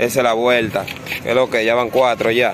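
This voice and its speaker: A man talks at a very fast pace with a Dominican accent. Light background noise is audible. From Dominican Republic. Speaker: kite-flying video creator. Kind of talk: live commentary. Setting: outdoors. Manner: animated.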